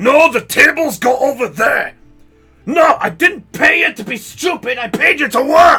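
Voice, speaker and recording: Over faint music in the background, a man uses a put-on character voice, gruff, raised, and projected, at a moderate pace. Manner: shouting, irritated.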